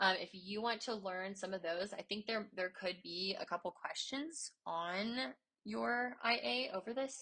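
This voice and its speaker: A woman speaks at a medium pitch with a bright, sharp tone and lively intonation. Her pace is fairly slow, with hardly any pauses. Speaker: math teacher. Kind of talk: tutorial.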